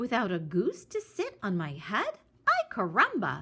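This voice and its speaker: A woman performs a put-on character voice. Her pitch sits at a medium level. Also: moderate pace. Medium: read story.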